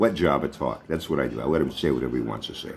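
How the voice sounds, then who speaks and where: A man with a Boston accent and vocal fry, talking at a very fast pace over light background noise. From Boston area. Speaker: vlogger. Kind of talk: casual vlog monologue. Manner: animated. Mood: mocking, taunting a rival. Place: home room. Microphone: phone near.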